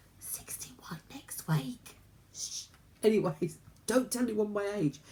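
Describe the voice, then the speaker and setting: Fairly slow speech with very wide pitch swings over music in the background. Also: woman. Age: 60s. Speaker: vlogger. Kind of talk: casual chat.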